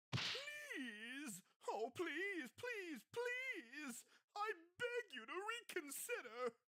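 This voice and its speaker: A woman's put-on character voice, extremely high-pitched and very slow, with very wide pitch swings. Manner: begging, groveling.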